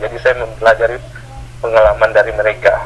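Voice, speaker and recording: The man talks at a very fast pace while noticeable background noise runs underneath. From Aceh, Indonesia. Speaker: property caretaker. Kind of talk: interview answer.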